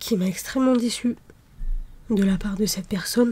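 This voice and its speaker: Soft-spoken and somewhat breathy, a woman talks at a fairly slow pace. Her tone is dark and mellow, and her intonation fairly even. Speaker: ASMR creator. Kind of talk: ASMR soft-spoken personal talk.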